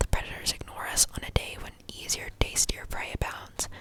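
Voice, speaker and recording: Whispering at a moderate pace against noticeable background noise. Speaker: ASMR creator. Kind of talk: sleep story reading. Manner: whispered.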